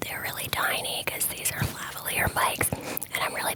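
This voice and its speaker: A whisper against noticeable background noise. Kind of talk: ASMR whisper ramble. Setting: studio, close sensitive mics. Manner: whispered.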